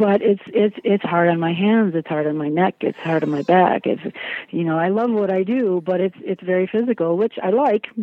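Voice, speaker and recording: Noticeable background noise sits behind a woman speaking. She has an American accent and ordinary pitch variation. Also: medium pitch for a woman, moderate pace. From US Midwest, Chicago area. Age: 40s. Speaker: martial arts teacher and wooden sword maker. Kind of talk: interview.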